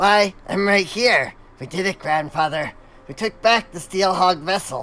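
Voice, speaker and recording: The man's pitch sits high in a put-on character voice. His pace stays moderate. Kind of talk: formal, archaic.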